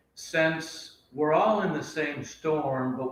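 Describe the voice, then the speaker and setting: The pace is very slow. Room echo is audible. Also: man. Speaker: Buddhist teacher. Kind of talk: dharma talk; reading aloud.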